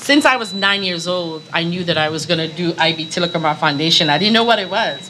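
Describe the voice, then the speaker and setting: Over noticeable background noise and audible room echo, a woman with an American accent and a fairly low pitch talks at a very fast pace with hardly any pauses. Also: ordinary pitch variation. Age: 60s. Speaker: NGO founder, panelist. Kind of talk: panel discussion.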